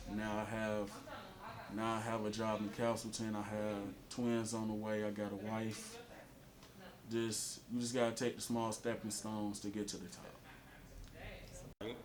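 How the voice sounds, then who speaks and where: Monotone, flat delivery at a fairly slow pace comes through audible room echo and noticeable background noise. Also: man, fairly low pitch for a man. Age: 20s. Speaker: former prisoner, outreach client. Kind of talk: testimony.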